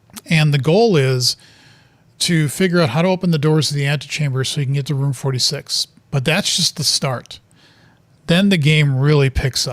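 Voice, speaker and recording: A man with a fairly high pitch and a somewhat breathy voice talks with ordinary pitch variation. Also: moderate pace. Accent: American. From US Midwest (Wisconsin). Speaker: video game streamer. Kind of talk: gameplay commentary. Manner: casual, with fillers and restarts.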